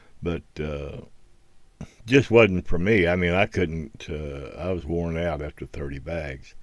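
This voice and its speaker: Talking at a fairly slow pace, a man with an American accent has a very deep, low pitch, vocal fry and ordinary pitch variation. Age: 70s. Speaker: hobbyist video creator. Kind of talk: voiceover narration. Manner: halting.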